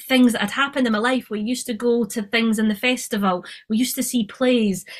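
A woman in an Edinburgh accent, fairly high in pitch, with fairly even intonation at a fairly quick pace. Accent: Edinburgh Scottish. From Scotland, Edinburgh. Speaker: film and TV producer. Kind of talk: casual interview.

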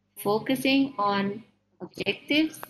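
A woman's somewhat breathy voice with an Indonesian accent, fairly high pitch and ordinary pitch variation. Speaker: vocational school computer teacher, session coach. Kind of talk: online teacher discussion. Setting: video call.

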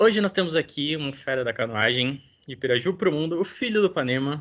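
This man has a normal speaking voice, pitched fairly high for a man. He talks at a fairly quick pace with lively intonation. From Brazil, interior of São Paulo state. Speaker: podcast host. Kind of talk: casual interview.

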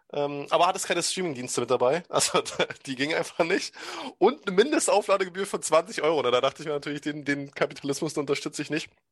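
Very fast pace with ordinary pitch variation over a quiet background. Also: man. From Brandenburg, Germany. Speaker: podcast host. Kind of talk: casual chat.

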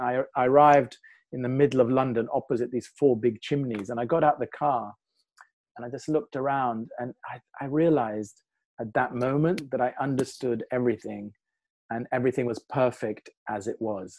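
Against a quiet background, a man with a plain, everyday voice speaks at medium pitch and moderate pace with fairly even intonation, the sound dry and close with no echo. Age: 60s. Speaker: qigong teacher. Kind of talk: guided meditation; interview conversation.

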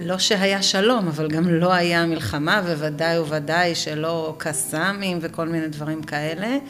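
With noticeable background noise and audible room echo, a woman talks at a fairly slow pace with hardly any pauses, using a fairly low pitch and ordinary pitch variation. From Israel, western Negev kibbutz. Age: 40s. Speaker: kibbutz-born mother of four. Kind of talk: interview testimony. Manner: halting.

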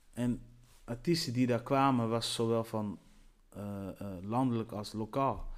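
Speaking at a fairly slow pace, a man uses a medium pitch and ordinary pitch variation in a very clean recording with a silent background. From Netherlands, Antillean roots. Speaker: radio presenter and event host. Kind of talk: solo podcast monologue. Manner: animated.

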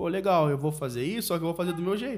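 There is ordinary pitch variation in this man's voice, which is high in pitch. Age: 30s. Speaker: podcast co-host. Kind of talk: casual chat.

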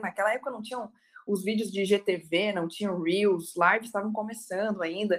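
A woman's medium-pitched voice keeps a moderate pace. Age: 20s. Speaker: criminal defence lawyer. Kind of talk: webinar talk.

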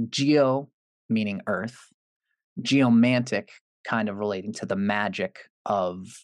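A man talks at medium pitch with ordinary pitch variation. The recording is very clean, dry and close with no echo, against a silent background. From Canada. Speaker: astrologer. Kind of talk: interview explanation.

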